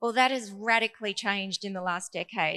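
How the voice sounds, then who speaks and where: A woman talks very fast with a bright, sharp tone and ordinary pitch variation. The sound is dry and close with no echo, in a very clean recording over a silent background. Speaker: conference speaker, digital health expert. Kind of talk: conference talk.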